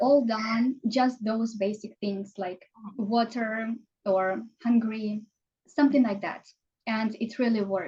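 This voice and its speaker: Somewhat breathy and dark, mellow in tone, a woman with a Ukrainian accent and fairly high pitch speaks at a very slow pace with fairly even intonation. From Ukraine. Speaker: language teacher and marketing consultant. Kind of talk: casual interview chat.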